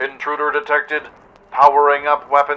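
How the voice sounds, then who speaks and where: A man's robotic put-on character voice, fairly high-pitched, with monotone, flat intonation at a moderate pace. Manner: chipper, cheerful.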